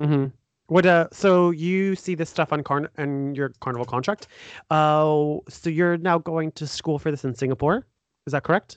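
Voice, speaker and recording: An unremarkable speaking voice, a man's, sits at a fairly high pitch with fairly even intonation and a moderate pace, recorded with a dry, close sound with no echo against a quiet background. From United States. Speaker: podcast host. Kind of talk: casual interview. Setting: remote call.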